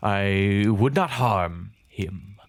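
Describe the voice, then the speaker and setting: A put-on character voice from a man, delivered at a very slow pace. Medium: actual play.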